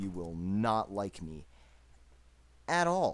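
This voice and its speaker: A man is speaking. His pitch sits fairly low. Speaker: gaming YouTuber. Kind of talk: gameplay commentary. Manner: loud.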